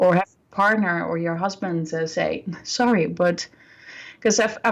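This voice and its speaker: A woman with a non-native accent speaks at a moderate pace and medium pitch, with ordinary pitch variation, against a quiet background. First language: not English. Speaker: birth and healing coach. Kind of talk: interview.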